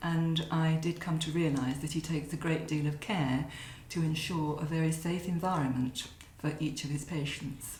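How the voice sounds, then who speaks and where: With noticeable background noise and audible room echo, a woman speaks in a very deep, low pitch, her intonation monotone and flat and her loudness very even. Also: moderate pace. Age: 70s. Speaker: patient giving a testimonial. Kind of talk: testimonial. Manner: hesitant, frequent fillers.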